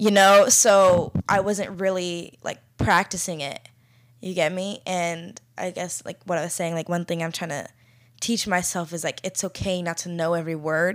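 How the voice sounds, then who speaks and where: A normal speaking voice with fairly even intonation comes at a moderate pace on a very clean recording with a silent background. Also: woman, fairly low pitch for a woman. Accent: American. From Florida, US. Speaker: podcast co-host. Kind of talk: casual conversational podcast discussion. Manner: casual, filler-heavy.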